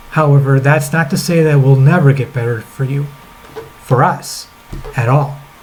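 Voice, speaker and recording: A man speaks at a moderate pace and a fairly high pitch, with fairly even intonation and long, frequent pauses. Background noise is noticeable. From rural, grew up on a family farm. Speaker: crossdresser. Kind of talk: letter read aloud to camera. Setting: laptop webcam.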